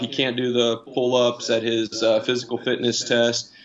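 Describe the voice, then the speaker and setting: Monotone, flat intonation from a man with a US Midwestern accent, medium in pitch, at a moderate pace over noticeable background noise. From Indiana, US Midwest. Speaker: new jiu-jitsu student, industrial manager. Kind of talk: casual interview chat. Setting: live-streamed online call. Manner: halting, many fillers and repeats.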